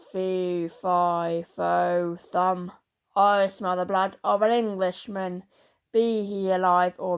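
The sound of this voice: Using a booming put-on character voice at a medium pitch, a woman speaks at a very slow pace. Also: quiet background.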